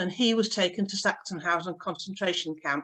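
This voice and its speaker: A woman with a slight Yorkshire accent speaks fairly quickly at a medium pitch with ordinary pitch variation. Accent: slight northern Yorkshire lilt. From northern England, Yorkshire (Pontefract). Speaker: synagogue member. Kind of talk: personal life talk.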